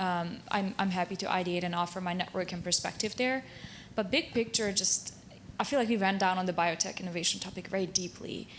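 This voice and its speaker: A woman at medium pitch in a Hungarian accent, fairly quick, with fairly even intonation. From Transylvania, Romania (Szekely Land). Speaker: university technology transfer professional. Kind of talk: round table discussion.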